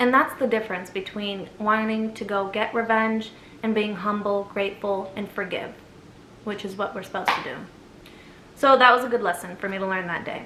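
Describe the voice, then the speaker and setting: With audible room echo, a woman with an American accent and a medium pitch speaks at a fairly quick pace with fairly even intonation. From USA, Egyptian family. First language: Arabic. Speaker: storyteller vlogger. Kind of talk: casual storytime.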